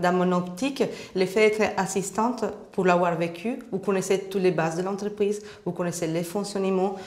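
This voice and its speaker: With a Spanish accent, a woman speaks at medium pitch and a moderate pace, her intonation fairly even, with audible room echo. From Colombia. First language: Spanish (speaking French). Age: 30s. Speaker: job seeker. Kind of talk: job interview.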